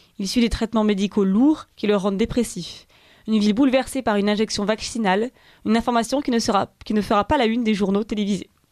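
Very fast and with fairly even intonation, a woman speaks at a fairly high pitch in a very clean recording with a silent background and a dry, close sound with no echo. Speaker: radio news presenter. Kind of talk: news reading. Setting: studio. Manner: formal.

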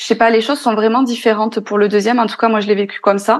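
The woman's voice is fairly high. Her intonation stays fairly even. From France. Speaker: podcaster and entrepreneur. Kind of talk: interview. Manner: hesitant.

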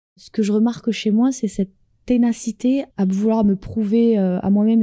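Woman, fairly high-pitched, with a dark, mellow tone, somewhat breathy, fairly even intonation, moderate pace, and a dry, close sound with no echo. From France. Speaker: dancer and choreographer. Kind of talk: interview.

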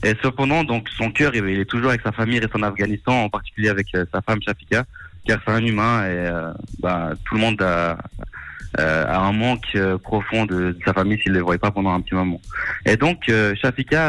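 Delivered at a fairly quick pace, the speech keeps very even loudness and ordinary pitch variation. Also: man. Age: 20s. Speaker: fundraiser organizer. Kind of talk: radio interview. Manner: halting, many hesitations.

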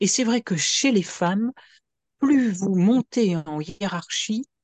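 The sound is dry and close, without any echo. A woman talks with a somewhat breathy quality. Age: 60s. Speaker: addiction consultant and author. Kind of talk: interview testimony.

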